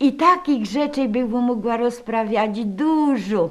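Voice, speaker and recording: In a Silesian accent, a woman speaks at a very slow pace. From Upper Silesia, Poland. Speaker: caretaker of a regional heritage room. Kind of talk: storytelling about holiday traditions.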